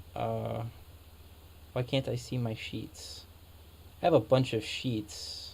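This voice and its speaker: This man talks at a very slow pace. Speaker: gaming video creator. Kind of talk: gameplay commentary with data walkthrough. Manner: loud; hesitant, many fillers.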